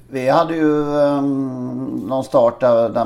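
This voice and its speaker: Ordinary pitch variation from a man, with noticeable background noise behind. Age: 40s. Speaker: podcast co-host. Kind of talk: casual chat.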